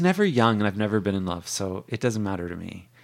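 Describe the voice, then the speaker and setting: A man talks at a very fast pace. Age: 40s. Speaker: bookstore worker and author. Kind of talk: casual chat.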